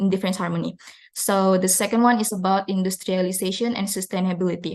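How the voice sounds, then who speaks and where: A woman speaks at a medium pitch with an Indonesian accent. Her intonation stays fairly even. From Indonesia, South Sulawesi (Makassar). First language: Duri, Bugis, Toraja, Makassar languages. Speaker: university student. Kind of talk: student presentation. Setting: live online seminar. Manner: hesitant, with fillers.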